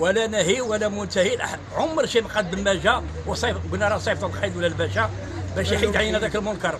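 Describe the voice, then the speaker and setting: A man talks at a moderate pace with a high pitch, and his voice carries audible room echo. Crowd noise fills the background. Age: 60s. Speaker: market resident complaining. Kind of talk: street interview testimony.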